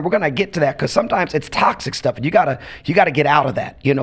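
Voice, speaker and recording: Noticeable background noise accompanies a man talking very fast at a fairly high pitch. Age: 50s. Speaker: pastor. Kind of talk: casual chat.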